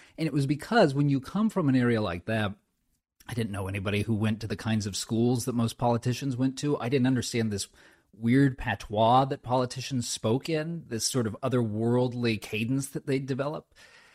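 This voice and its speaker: A man with an American accent and a plain, everyday voice talks at a fairly quick pace at medium pitch with ordinary pitch variation, the very clean recording dry and close with no echo and a silent background. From Southern California (inland). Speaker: author and former speechwriter. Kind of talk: interview.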